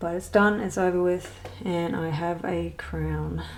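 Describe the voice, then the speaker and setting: With an Australian accent, a woman talks at a fairly slow pace in a fairly low pitch. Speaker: adult colouring hobbyist. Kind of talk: casual talk to camera.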